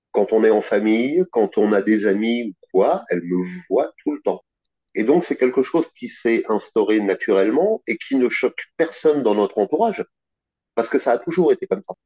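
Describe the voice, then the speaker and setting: In a dry, close recording with no echo, a man talks at a moderate pace. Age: 50s. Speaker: finance worker, dominant interviewee. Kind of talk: interview testimony.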